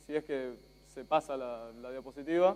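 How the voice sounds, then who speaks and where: Speaking at a fairly slow pace, a man talks in an Argentine accent. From Spain. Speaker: journalist. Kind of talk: conference talk. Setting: stage with audience.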